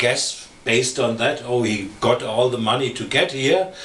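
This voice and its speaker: With noticeable background noise and audible room echo, a man with a German accent speaks at a fairly slow pace. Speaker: podcast co-host. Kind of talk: casual chat. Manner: halting, many fillers.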